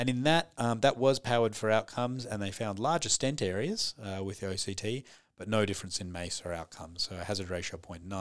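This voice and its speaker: An unremarkable speaking voice from a man, fairly low in pitch with ordinary pitch variation and a fairly quick pace, on a very clean recording with a silent background. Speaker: podcast host and cardiologist. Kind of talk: interview conversation.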